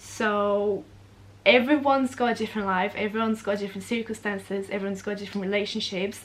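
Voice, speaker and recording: A woman's very fast speech in a medium pitch, with fairly even intonation and a Portuguese accent. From Brazil. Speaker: vlogger. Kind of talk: casual Q&A vlog. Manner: chatty, fast.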